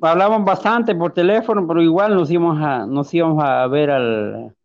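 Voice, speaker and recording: With a Honduran accent, a man speaks at a fairly high pitch with lively intonation. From Honduras, rural Ocotepeque. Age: 30s. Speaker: blind musician. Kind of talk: testimony. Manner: halting, hesitant.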